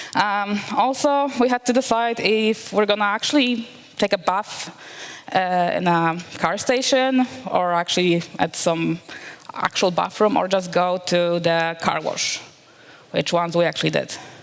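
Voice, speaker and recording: With a Polish accent, a woman at medium pitch speaks at a fairly slow pace with lively intonation and very even loudness over noticeable background noise. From Poland. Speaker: developer relations engineer. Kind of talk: conference talk. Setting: stage with audience.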